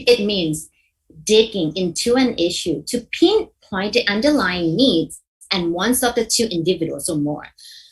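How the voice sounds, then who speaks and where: A woman speaks at a medium pitch with a somewhat breathy voice. Her pace is fairly slow and her intonation lively. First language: not English. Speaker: mediation trainer. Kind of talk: workshop lecture. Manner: halting, with repetitions and self-corrections.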